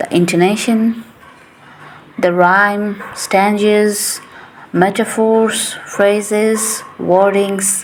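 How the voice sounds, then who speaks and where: A woman with a non-native accent at a medium pitch, very slow pace and fairly even intonation, over noticeable background noise. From Asia. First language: not English. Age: 20s. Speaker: English teacher. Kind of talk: casual monologue. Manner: chatty, rambling.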